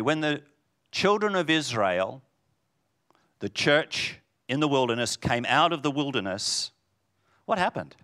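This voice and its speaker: Speaking at a moderate pace with long, frequent pauses, a man with a fairly high pitch, a bright, sharp tone, vocal fry and an animated tone swings his pitch very widely in a very clean recording with a silent background. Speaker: preacher. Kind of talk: sermon. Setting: church. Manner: loud.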